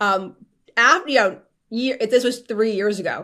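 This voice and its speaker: At a moderate pace and medium pitch, a woman speaks in a New Jersey accent. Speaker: media strategist. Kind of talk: casual chat. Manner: loud.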